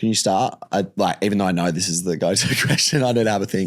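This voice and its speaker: A man with an Australian accent talks at a fairly quick pace in a fairly low pitch. There is noticeable background noise. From Perth, Western Australia. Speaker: host's partner. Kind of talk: casual chat. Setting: studio. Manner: loud.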